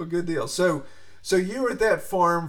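Over noticeable background noise and audible room echo, a man talks at a moderate pace with ordinary pitch variation. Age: 40s. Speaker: podcast host and pig farmer. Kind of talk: interview. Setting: home office.

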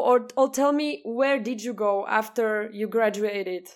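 Speaking with a Slovak accent, a woman uses a bright, sharp tone at a fairly slow pace with ordinary pitch variation, on a very clean recording with a silent background. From Slovakia. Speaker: podcast co-host. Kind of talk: casual interview.

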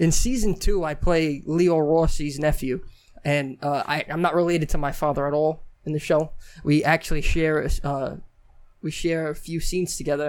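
A normal speaking voice with an American accent. The pace is moderate and the intonation fairly even. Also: man, fairly high pitch for a man. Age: young. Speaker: actor. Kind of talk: casual chat. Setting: studio.

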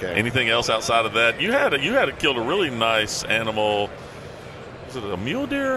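Pitch swinging very widely, a man talks fairly quickly while noticeable background noise carries on. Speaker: podcast host. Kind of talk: casual interview. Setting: trade show floor.

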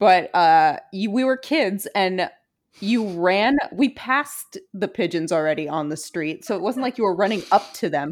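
A woman speaks with an American accent at a moderate pace. Her medium-pitched voice has lively intonation. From Brooklyn, New York. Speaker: podcast host. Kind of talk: casual chat. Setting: remote recording, living in LA.

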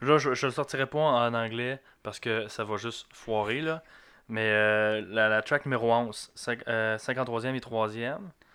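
Very slow in pace, a man with a medium pitch speaks in a bright, sharp tone and fairly even intonation, in a very clean recording with a silent background. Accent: Lac-Saint-Jean. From Quebec, Lac-Saint-Jean. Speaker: music fan guest. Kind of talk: casual chat. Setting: small studio. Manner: halting, repeated words.

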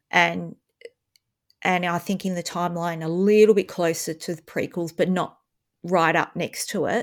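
A woman with an Australian accent at a moderate pace, in monotone, flat intonation, with long, frequent pauses. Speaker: podcast host and schoolteacher. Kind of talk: casual chat.

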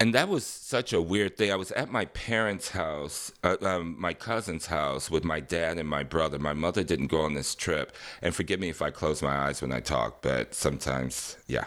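A man with an American accent speaks with a very deep, low pitch and vocal fry, at a moderate pace. His intonation is lively, and the recording is very clean with a silent background. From Detroit, Michigan, US Midwest. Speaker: dancer, singer, actor, choreographer. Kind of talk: casual interview, storytelling.

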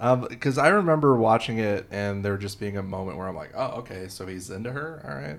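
A man with an American accent speaks fairly quickly in a normal speaking voice, pitched fairly low. His intonation is lively, and his loudness swings widely. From Illinois. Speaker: TV research director and comedian. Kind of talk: casual chat about movies.

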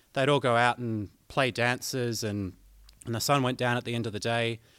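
The recording is very clean with a silent background, and the man on it has an Australian accent. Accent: Australian, noticeable twang. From southern Australia. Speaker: banjo player, guest host. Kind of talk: educational talk on music theory.

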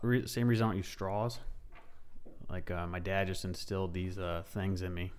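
A man speaks at a moderate pace in a fairly low voice, with audible echo from the room. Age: 30s. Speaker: military veteran. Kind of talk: casual chat.

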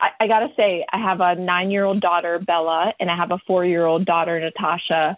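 In a normal speaking voice, a woman with fairly low pitch talks at a fairly quick pace with hardly any pauses, fairly even intonation and very even loudness. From Virginia, US (moved from the Philippines at 10). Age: 40s. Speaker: marketing executive. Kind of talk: interview.

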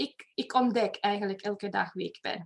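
A woman speaks with a Romanian accent. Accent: Romanian-accented Dutch. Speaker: personal development facilitator. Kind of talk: interview. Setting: video call. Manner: animated.

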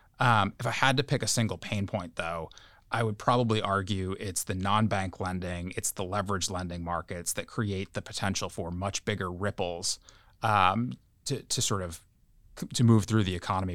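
In a very clean recording with a silent background, a man talks in a very deep, low pitch with ordinary pitch variation. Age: 30s. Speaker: bank equity analyst. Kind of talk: professional podcast discussion. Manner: halting, many fillers and repeated words.

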